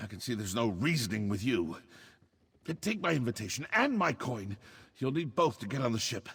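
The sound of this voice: A man speaks in a put-on character voice with a fairly bright tone, a husky, rough edge and vocal fry. His pitch sits in the medium range and swings widely at a moderate pace.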